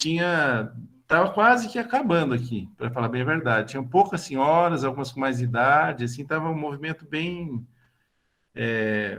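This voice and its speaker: This man talks at a moderate pace, his fairly high pitch carrying lively intonation. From Brazil, São Paulo state (Bragança Paulista). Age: 60s. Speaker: lay religious formation leader. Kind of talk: online talk / testimony. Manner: halting, many fillers.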